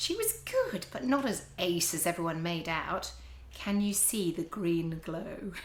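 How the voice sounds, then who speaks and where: With noticeable background noise behind her, a woman takes a fairly slow pace. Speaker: podcast host. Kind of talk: reading own teenage diary aloud.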